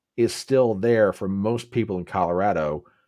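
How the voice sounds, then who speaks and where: A man with an American accent speaks at a fairly slow pace in a medium pitch, with ordinary pitch variation, on a very clean recording with a silent background. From West Virginia. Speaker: podcast host. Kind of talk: casual interview chat. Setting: livestream. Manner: animated.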